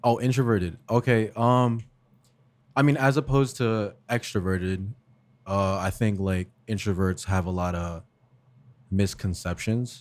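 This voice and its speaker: A man speaks at a fairly slow pace and a fairly low pitch, on a very clean recording with a silent background. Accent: New Jersey. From US Northeast, northern New Jersey, Essex County. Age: 20s. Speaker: podcast guest, videographer. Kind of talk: casual chat. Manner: relaxed, conversational with fillers.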